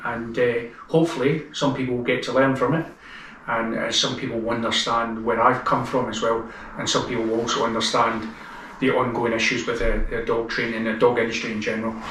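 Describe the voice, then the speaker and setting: With noticeable background noise and audible room echo, a man with a Scottish accent speaks at a fairly quick pace in a monotone, flat delivery at a medium pitch. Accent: Scottish, less thick than Glaswegian. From Scotland, Glasgow. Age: 50s. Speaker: dog trainer, ex-police officer. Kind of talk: interview storytelling.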